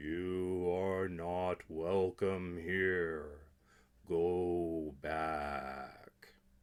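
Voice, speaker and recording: A booming, put-on character voice speaks at a very slow pace in a monotone, flat intonation. The recording is very clean, with a silent background. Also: man, very deep, low pitch for a man. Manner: commanding, warning.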